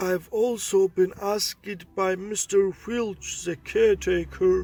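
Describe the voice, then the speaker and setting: A man speaks here. He uses a cartoonish character voice. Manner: genial, unhurried.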